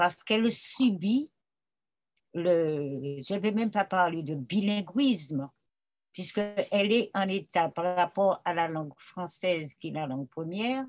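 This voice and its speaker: A woman speaks at a very slow pace with a fairly low pitch. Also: lively intonation. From Martinique. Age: old. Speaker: writer and retired school director. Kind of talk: interview answer.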